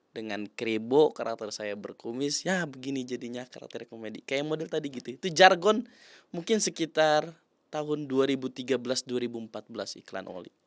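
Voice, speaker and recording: The recording is very clean, with a silent background. A man talks at a fairly quick pace with lively intonation and big swings in loudness. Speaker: commercial actor. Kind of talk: interview. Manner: casual.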